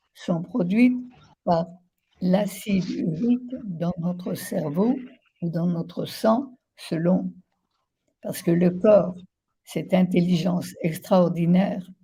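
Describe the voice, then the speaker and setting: The voice is somewhat breathy with a dark, mellow tone, moving at a very slow pace with long, frequent pauses. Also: woman, medium pitch for a woman, ordinary pitch variation. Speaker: naturopath. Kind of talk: interview.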